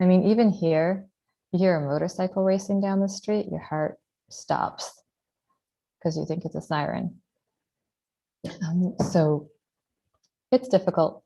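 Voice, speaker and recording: Soft-spoken, a woman with a dark, mellow tone and medium pitch talks at a fairly slow pace, with ordinary pitch variation and long, frequent pauses. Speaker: mother living under rocket fire. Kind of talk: testimony.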